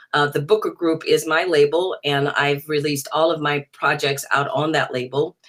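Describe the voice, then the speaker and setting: Speaking with an American accent, a woman has a very deep, low pitch and fairly even intonation. She moves at a moderate pace with hardly any pauses. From US South, New Orleans. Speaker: jazz singer. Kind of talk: interview.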